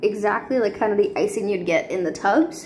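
The woman rattles along at a very fast pace, with noticeable noise behind her. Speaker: home cooking vlogger. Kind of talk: casual cooking tutorial chat. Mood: cheerful, playful. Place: kitchen. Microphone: phone near.

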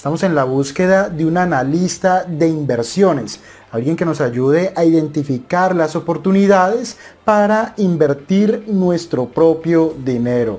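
A man speaks at a high pitch. His pace is fairly slow. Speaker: investment channel host. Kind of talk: casual vlog chat. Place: office. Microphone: lapel.

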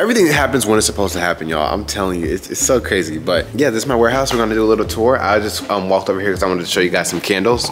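Speaking at a very fast pace with hardly any pauses, a man with a fairly low pitch and ordinary pitch variation comes through over light background noise. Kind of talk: casual vlog chat. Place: factory. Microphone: phone near.

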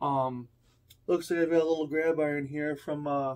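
A man at a moderate pace. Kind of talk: tutorial. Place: home room.

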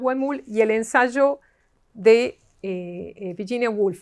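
The pitch swings very widely over a quiet background. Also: woman. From Argentina. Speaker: literature professor. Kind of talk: lecture. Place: hall. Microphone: camera far.

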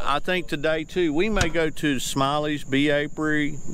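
A man with an American accent in a normal speaking voice, fairly high in pitch, at a moderate pace, dry with no echo, over light background noise. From Florida, USA. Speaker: travel vlogger. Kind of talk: casual travel vlog talk to camera. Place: waterside. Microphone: phone near.

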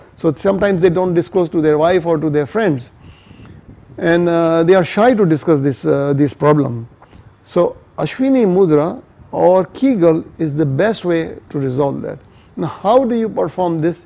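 At a moderate pace, a man speaks in a dark, mellow tone with lively intonation. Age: 60s. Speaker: fitness and yoga educator. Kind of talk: casual educational talk to camera. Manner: conversational, explanatory. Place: home room.

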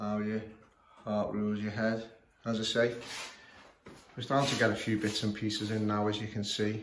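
With a Scouse accent, a man speaks at a fairly quick pace in a fairly low, monotone, flat voice with long, frequent pauses. Noticeable background noise is present. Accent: Scouse (Liverpool English). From northern England, Liverpool. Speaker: clock repairer. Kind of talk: tutorial. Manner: halting, many fillers. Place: home room. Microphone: phone near.

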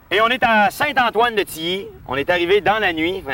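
A man's raised, projected voice at a fairly slow pace, bright and sharp in tone, with very wide pitch swings, a dry sound with no echo and light background noise. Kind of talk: casual vlog chat. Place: street. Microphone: old recording.

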